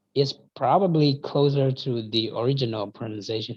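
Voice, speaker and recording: Somewhat breathy and medium in pitch, a man with a Burmese accent speaks at a fairly slow pace. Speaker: channel host. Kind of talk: casual chat.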